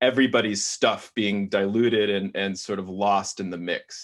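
With an unremarkable speaking voice, a man talks at a moderate pace, his fairly low pitch carried on fairly even intonation. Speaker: classical pianist and music education executive. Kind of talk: interview.

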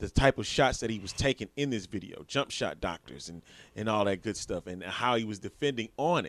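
With an unremarkable speaking voice, a man talks at a fairly quick pace and fairly low pitch, his intonation lively and the sound dry and close with no echo. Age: 30s. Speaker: sports podcast co-host. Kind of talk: casual chat.

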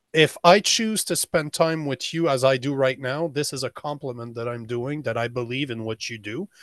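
A man's normal speaking voice, medium in pitch, with ordinary pitch variation, a moderate pace and hardly any pauses. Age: 40s. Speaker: men's coach and podcast host. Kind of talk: casual interview.

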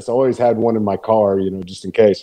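This is a man speaking with a Texan accent. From Texas. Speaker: podcast guest. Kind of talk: casual chat.

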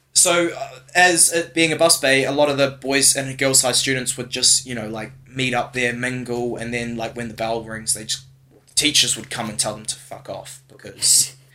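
A man with a New Zealand accent speaks at a moderate pace in a medium pitch, his loudness swinging widely while his pitch varies in an ordinary way. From New Zealand, Whangarei. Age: 20s. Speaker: podcast co-host. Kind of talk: casual chat. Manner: halting.

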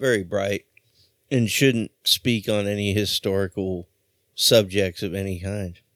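A man has an ordinary speaking voice, fairly low in pitch, at a fairly slow pace. The recording is very clean with a silent background, and the sound is dry and close with no echo. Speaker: radio host. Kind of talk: radio DJ patter, casual punk radio banter with profanity. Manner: relaxed, jokey, laughing.

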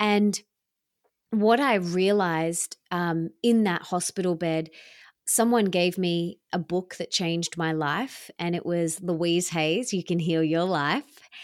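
In a very clean recording with a silent background and a dry, close sound with no echo, a woman with an Australian accent speaks at a fairly low pitch and a very slow pace. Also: ordinary pitch variation. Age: 30s. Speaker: self-love teacher and author. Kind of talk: interview.

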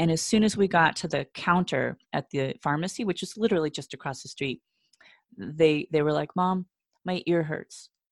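A woman's fairly low-pitched voice, a normal speaking voice with ordinary pitch variation, at a moderate pace, with a dry, close sound and no echo. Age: 50s. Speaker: yoga and Pilates instructor, former dancer. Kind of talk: interview.

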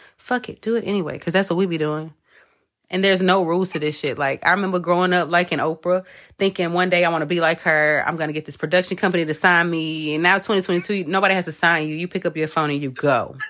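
A woman's fairly low, animated voice at a very fast pace, on a very clean recording with a silent background. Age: 30s. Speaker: podcast host and astrology reader. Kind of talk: casual chat.

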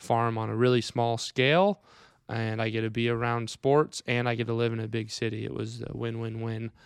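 A man with a Midwestern US accent speaks at a medium pitch and a fairly quick pace, in a monotone, flat intonation. The recording is very clean, dry and close with no echo and a silent background. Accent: US Midwest. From Iowa, Wright County. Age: 20s. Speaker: grass-fed beef farmer. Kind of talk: casual chat. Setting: recorded on a laptop.

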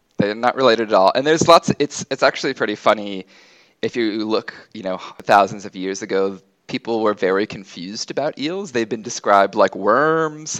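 An ordinary speaking voice, this man talks with an American accent at a medium pitch and fairly quick pace, with ordinary pitch variation, big swings in loudness and a dry, close sound with no echo. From United States. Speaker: geographer and ecologist. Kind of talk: casual interview.

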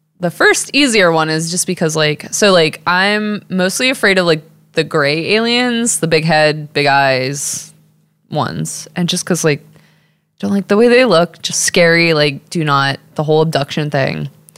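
With an American accent, a woman speaks at a fairly slow pace in a fairly low pitch and with lively intonation. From Texas. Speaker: artist. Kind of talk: casual chat.

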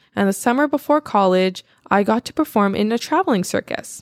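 At a fairly quick pace, a woman talks at medium pitch in an ordinary speaking voice. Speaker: podcast co-host. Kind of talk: casual podcast chat, reading Reddit stories aloud.

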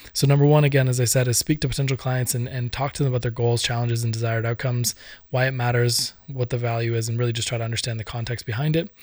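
A man speaks at a very fast pace in a medium-pitched, somewhat breathy voice with fairly even intonation. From Ireland. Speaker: podcast host and business consultant. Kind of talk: solo podcast monologue. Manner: hesitant, many fillers and repeats.

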